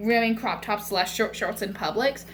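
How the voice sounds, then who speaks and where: A woman talks in a fairly high register, and the room around her echoes audibly. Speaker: cosplayer vlogger. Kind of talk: casual vlog monologue. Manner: rambling, filler-heavy.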